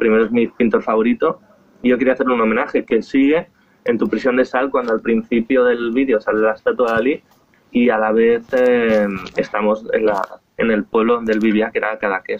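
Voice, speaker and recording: Speaking fairly quickly at a medium pitch, the man keeps a monotone, flat intonation and very even loudness. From Spain, Esplugues de Llobregat (Barcelona area). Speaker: singer-songwriter. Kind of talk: interview. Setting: outdoors on his terrace, remote call.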